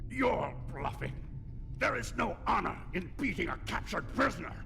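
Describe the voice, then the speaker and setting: Over loud background noise, a man does a put-on character voice at a moderate pace. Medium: video game. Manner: sneering, taunting.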